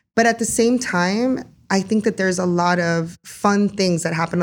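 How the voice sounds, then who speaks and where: On a very clean recording with a silent background, a woman speaks in an ordinary speaking voice with an American accent. Her pitch is medium, her intonation fairly even, and her pace moderate. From US South, Texas Rio Grande Valley. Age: 30s. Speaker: media company co-owner. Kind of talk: interview.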